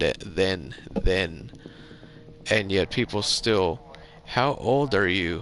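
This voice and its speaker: Speaking at a very slow pace with long, frequent pauses, a man keeps his loudness very even and his pitch variation ordinary. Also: fairly low pitch for a man. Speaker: gaming streamer. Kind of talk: casual chat. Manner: rambling, halting with restarts.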